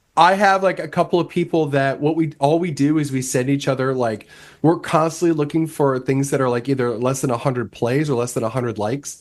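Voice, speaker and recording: This is a man with a normal speaking voice, fairly high in pitch with ordinary variation. He speaks at a fairly quick pace with hardly any pauses against a quiet background. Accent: American. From Nebraska, US Midwest. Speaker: record label owner. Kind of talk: casual chat.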